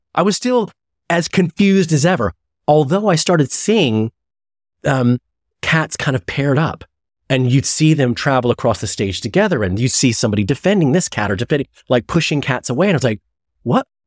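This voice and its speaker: With an American accent, a man talks at a fairly quick pace with very wide pitch swings and long, frequent pauses. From US Midwest (Chicago). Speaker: actor and podcast host. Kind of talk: casual chat. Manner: halting, many false starts; animated.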